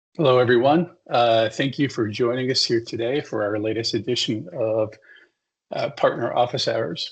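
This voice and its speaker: A somewhat breathy male voice of medium pitch at a moderate pace. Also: ordinary pitch variation. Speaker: webinar host for a software company's partner team. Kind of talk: webinar introduction. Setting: online webinar. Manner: hesitant, many fillers.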